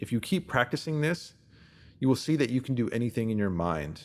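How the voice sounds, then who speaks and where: A normal speaking voice from a man at a medium pitch, lively in intonation and fairly quick, in a very clean recording with a silent background. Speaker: reader of written posts. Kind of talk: self-help text reading.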